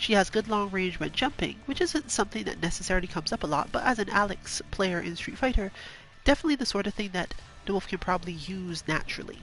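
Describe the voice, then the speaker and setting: Talking at a very fast pace over music in the background, a woman uses a medium pitch and lively intonation. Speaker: gaming streamer. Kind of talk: casual commentary.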